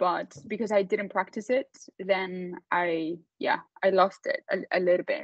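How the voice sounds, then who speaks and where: A woman speaks with a Spanish accent at a medium pitch. Her pace is fairly slow, with ordinary pitch variation. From Mexico, Mexico City. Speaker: entrepreneur, company founder. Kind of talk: panel talk to students.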